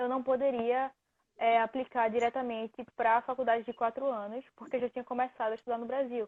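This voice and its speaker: Her voice is high, a woman speaking with a northeastern Brazilian accent. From Recife, northeastern Brazil. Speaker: student athlete. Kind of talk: interview. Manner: halting.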